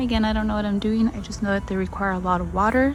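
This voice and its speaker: A soft-spoken woman, with noticeable background noise and audible room echo. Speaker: gardening vlogger. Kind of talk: casual vlog walkthrough. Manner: hesitant.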